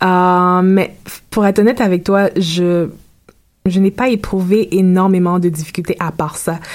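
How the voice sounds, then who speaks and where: Speaking at a fairly slow pace in a medium pitch, a woman has a normal speaking voice and fairly even intonation. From Haiti, then Florida from age 10. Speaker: university student. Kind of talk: interview. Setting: studio.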